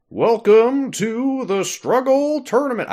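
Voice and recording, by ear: A man's put-on character voice at an extremely high pitch, delivered at a fairly slow pace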